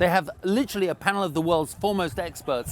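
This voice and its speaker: A man speaks with a British accent. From Britain. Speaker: event livestream commentator. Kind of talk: live commentary.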